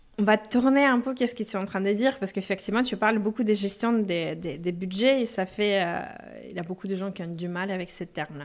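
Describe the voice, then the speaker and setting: This woman speaks very fast at a medium pitch, with ordinary pitch variation. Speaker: personal finance coach. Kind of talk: interview.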